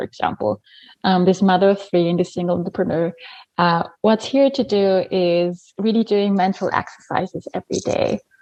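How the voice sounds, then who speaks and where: A woman with an Austrian accent, medium pitch and a dark, mellow tone, at a moderate pace, in a dry, close sound with no echo. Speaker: habit coach. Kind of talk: podcast interview.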